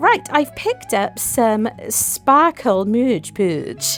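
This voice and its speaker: A woman speaks with music in the background. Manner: overpronouncing some words.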